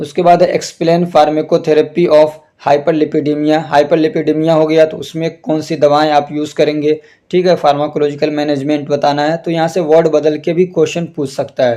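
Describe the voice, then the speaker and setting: A man's dark, mellow voice at a fairly high pitch, monotone and flat, moderate in pace with hardly any pauses. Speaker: pharmacy teacher. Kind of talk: tutorial.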